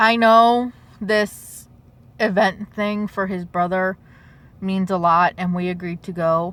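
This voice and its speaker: A woman with an American accent, medium pitch and very slow pace. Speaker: vlogger. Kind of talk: story time vlog. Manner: halting.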